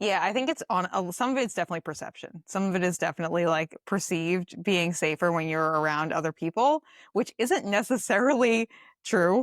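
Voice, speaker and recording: A woman with a Boston accent talks at a medium pitch and a fairly quick pace, her tone animated and her intonation lively. The recording is very clean, with a silent background and a dry, close sound with no echo. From Boston, Massachusetts. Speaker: dietitian and ultramarathoner. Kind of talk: casual chat. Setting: podcast recording.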